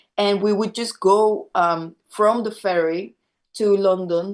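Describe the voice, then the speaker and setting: Against a quiet background, a woman with a Spanish accent talks at a medium pitch with fairly even intonation. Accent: Spanish accent when speaking French. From Venezuela. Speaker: rock musician. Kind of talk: interview. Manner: halting, many fillers and repetitions.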